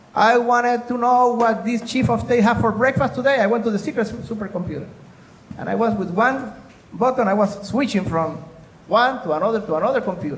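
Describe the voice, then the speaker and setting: A man with an extremely high pitch speaks at a fairly quick pace amid noticeable background noise and audible room echo. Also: ordinary pitch variation. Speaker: former US intelligence officer and security consultant. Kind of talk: conference presentation.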